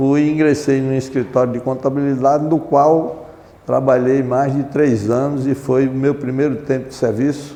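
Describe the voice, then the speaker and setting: There is noticeable background noise as a man speaks. His medium-pitched voice has monotone, flat intonation. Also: moderate pace. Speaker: retired marine, amnesty movement member. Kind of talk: oral history interview. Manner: formal; halting.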